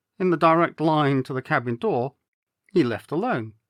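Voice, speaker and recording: A man has an unremarkable speaking voice with a fairly high pitch and lively intonation at a moderate pace. The recording is very clean with a silent background and a dry, close sound with no echo. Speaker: actor and storyteller. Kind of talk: audiobook-style story reading.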